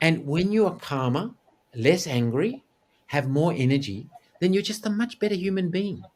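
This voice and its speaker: A man speaks with an Australian accent. His pitch swings very widely. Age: 60s. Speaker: actor, TV anchor and yogi. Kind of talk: interview. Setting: video call.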